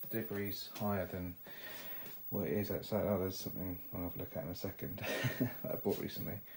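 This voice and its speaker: A man mumbles quietly at a fairly quick pace, his fairly low voice somewhat breathy, with ordinary pitch variation. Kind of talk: casual talk to camera. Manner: quiet, occasional mumbling.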